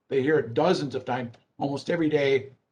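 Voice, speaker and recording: This man has a fairly high pitch and a somewhat breathy voice, speaking at a moderate pace with ordinary pitch variation. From Six Nations of the Grand River, Ontario. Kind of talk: Q&A after a talk. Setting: online video call.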